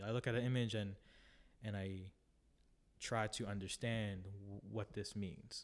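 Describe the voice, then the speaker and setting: On a very clean recording with a silent background, a man with a Canadian accent speaks at a moderate pace in a fairly low pitch. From Toronto, Canada (Filipino family). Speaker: emerging photographer. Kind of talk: interview. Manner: halting.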